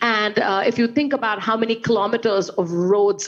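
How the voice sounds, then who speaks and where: A woman in an Indian accent at a moderate pace, over noticeable background noise. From India, Calcutta. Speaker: investment strategist. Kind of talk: panel discussion.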